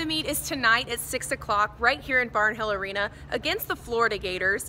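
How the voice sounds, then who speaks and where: A woman's raised, projected voice in an American accent at a moderate pace, over noticeable background noise. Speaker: television news reporter. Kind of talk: TV news reporter delivery.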